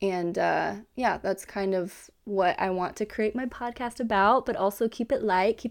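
With an American accent, a woman speaks in a plain, everyday voice at medium pitch and a moderate pace. Her pitch varies in an ordinary way, on a very clean recording with a silent background. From Kansas. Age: 20s. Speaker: podcast host. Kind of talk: casual monologue.

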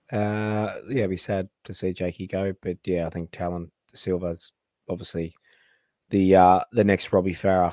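Very deep, low-pitched male voice in an Australian accent, flat and monotone at a moderate pace, dry and close with no echo on a very clean, silent recording. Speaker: podcast host. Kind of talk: casual chat.

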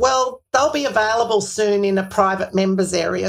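A woman speaks at a fairly quick pace with an Australian accent. Her pitch is medium, with ordinary variation. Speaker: podcast host. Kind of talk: interview, scripted intro.

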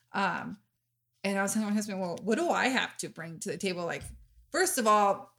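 Loud and bright, a woman's sharp voice rises and falls with lively intonation in a very clean recording with a silent background. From Mexican-American. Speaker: podcast host. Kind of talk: casual chat. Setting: studio.

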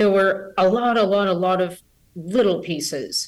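Speaking at a moderate pace, a woman with a plain, everyday voice has a medium pitch and ordinary pitch variation. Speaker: scientist, biologist. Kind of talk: interview, expert explanation. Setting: remote call, unstable internet.

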